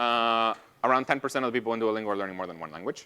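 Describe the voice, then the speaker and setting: A man with a Spanish accent. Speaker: computer scientist, guest lecturer. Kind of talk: lecture Q&A.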